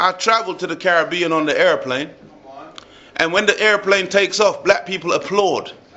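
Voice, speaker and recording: Noticeable background noise accompanies a man talking in a high pitch. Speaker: religious speaker. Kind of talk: speech to live audience. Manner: animated.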